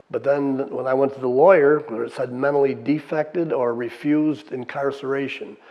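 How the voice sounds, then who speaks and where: With noticeable background noise, a man with an American accent talks at a medium pitch and a fairly slow pace, his intonation fairly even. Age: 70s. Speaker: war veteran. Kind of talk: testimony. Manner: casual, conversational.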